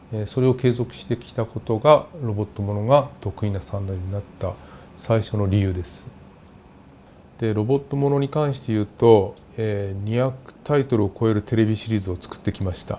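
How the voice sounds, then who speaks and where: This man's voice sits fairly low, with ordinary pitch variation and big swings in loudness. He talks at a moderate pace over light background noise. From Japan. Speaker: anime studio executive and producer. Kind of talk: interview; interview answer. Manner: frequent filler pauses. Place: office. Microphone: lapel.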